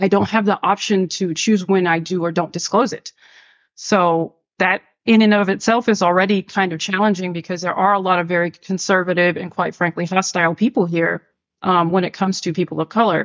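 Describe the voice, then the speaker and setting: A woman with an ordinary speaking voice talks at a fairly quick pace, medium in pitch and fairly even in intonation. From New York. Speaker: LGBTQ+ organization member. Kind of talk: podcast conversation.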